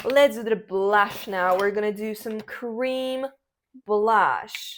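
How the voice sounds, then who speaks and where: A woman's fairly high voice at a very slow pace, in a very clean recording with a silent background. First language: not English. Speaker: drag performer and makeup vlogger. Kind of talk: casual chat while doing makeup. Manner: casual, meandering.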